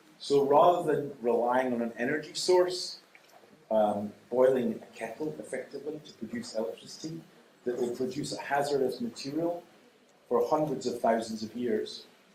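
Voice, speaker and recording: At a moderate pace, a man with a fairly high voice uses lively intonation and big swings in loudness, with audible room echo. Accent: Scottish. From Scotland. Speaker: nuclear energy expert. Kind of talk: lecture. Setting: lecture hall with audience. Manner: pausing for consecutive interpretation.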